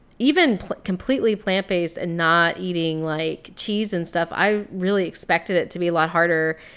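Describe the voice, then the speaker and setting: A woman speaks in an ordinary speaking voice at a moderate pace. Her intonation is fairly even, and the recording is very clean with a silent background. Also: fairly low pitch for a woman. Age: 30s. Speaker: podcast co-host. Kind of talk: casual chat.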